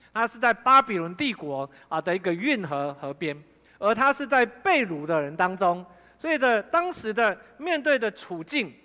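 A man with a high pitch and very wide pitch swings projects a raised voice in a bright, sharp tone at a moderate pace. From Taiwan, Fengyuan (Taichung). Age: 50s. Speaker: pastor. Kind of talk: sermon. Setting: church.

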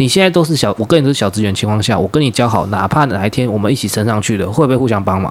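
Very fast speech with lively intonation and hardly any pauses. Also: man, fairly low pitch for a man. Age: 30s. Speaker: podcast co-host, workplace supervisor. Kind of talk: casual chat.

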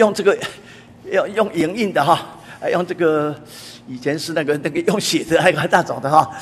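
A man speaks with a Taiwanese accent. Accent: Taiwanese Mandarin. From Taiwan, Taipei. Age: 80s+. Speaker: church elder preacher. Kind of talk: sermon. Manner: frequent filler particles.

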